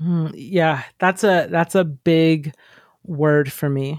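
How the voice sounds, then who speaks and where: In an American accent, a woman speaks with a dry, close sound and no echo. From US South, Georgia. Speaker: artist and writer. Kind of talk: casual interview chat.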